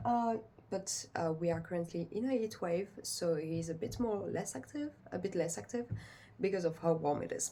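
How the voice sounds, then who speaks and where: A woman's somewhat breathy voice with a French accent, dark and mellow, fairly low in pitch, with lively intonation at a moderate pace. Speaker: pet owner vlogger. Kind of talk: casual vlog, unedited talk to camera. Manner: halting, many fillers.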